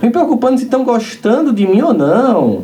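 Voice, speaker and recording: Amid noticeable background noise and audible room echo, a man speaks at a moderate pace with an extremely high pitch. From Brazilian Northeast, Campina Grande. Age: 40s. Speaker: spiritist lecturer. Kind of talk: lecture. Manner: animated.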